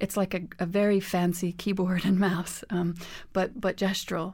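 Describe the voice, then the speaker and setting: A woman speaks at a moderate pace with a medium-pitched voice. The recording is very clean, with a silent background. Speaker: scientist and music technologist. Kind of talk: interview conversation.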